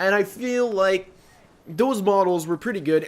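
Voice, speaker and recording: A man with a Quebec accent and ordinary pitch variation. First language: French. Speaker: gaming YouTuber. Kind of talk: casual Q&A chat.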